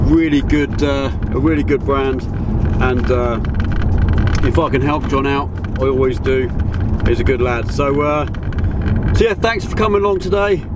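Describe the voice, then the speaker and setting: At a moderate pace with long, frequent pauses, the speech comes through loud background noise in a dry sound with no echo. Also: man. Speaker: photographer vlogger. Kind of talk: casual vlog chat. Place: car. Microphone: phone near.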